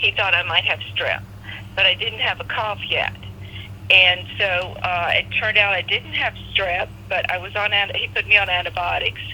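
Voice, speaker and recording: At a medium speed, a woman talks while noticeable noise sounds in the background. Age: 60s. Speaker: covid-19 patient. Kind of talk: interview. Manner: halting, many fillers and repeats.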